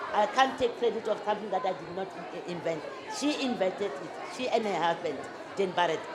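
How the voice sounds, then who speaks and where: A woman talks at a fairly quick pace with lively intonation. Audible room echo and crowd noise fill the background. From South Africa, Limpopo. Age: 60s. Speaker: business owner. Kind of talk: interview before a live audience. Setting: stage with audience. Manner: halting, many fillers and restarts.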